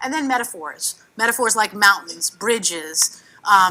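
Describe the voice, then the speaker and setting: A woman's animated, bright and sharp voice with ordinary pitch variation and a New York accent. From New York City. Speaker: cartoonist and workshop facilitator. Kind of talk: workshop presentation. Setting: conference workshop with audience. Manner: fast.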